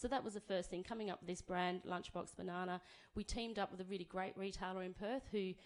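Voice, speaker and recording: A woman at medium pitch with an Australian accent and fairly even intonation. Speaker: banana grower speaking for a farming cooperative. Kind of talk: conference talk. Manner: fast.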